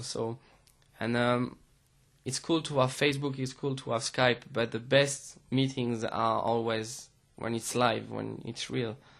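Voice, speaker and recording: On a very clean recording with a silent background, a man with a French accent speaks at a medium pitch and fairly slow pace in a monotone, flat intonation. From France. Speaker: DJ and music producer. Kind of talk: interview. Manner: hesitant, many fillers.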